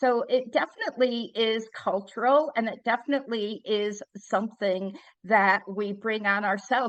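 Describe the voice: A woman speaks in a fairly bright tone with ordinary pitch variation.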